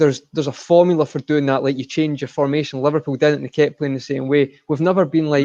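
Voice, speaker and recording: A man with a Scottish accent talks at a very fast pace, with hardly any pauses. His fairly high pitch has a dark, mellow tone. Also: dry, close sound with no echo. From Scotland. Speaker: football fan pundit. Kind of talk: casual chat. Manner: animated.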